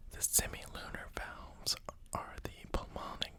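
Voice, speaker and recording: Against noticeable background noise, a man whispers. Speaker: new ASMR creator. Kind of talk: ASMR reading of educational text. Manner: whispered, soft-spoken.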